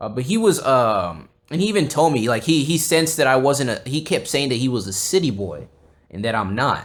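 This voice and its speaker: A man with a Texan accent, fairly high-pitched, with very wide pitch swings and a fairly quick pace, on a very clean recording with a silent background. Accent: Texan American English. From South Texas (Corpus Christi). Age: 20s. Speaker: podcast host. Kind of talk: casual chat. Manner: halting, many fillers and restarts.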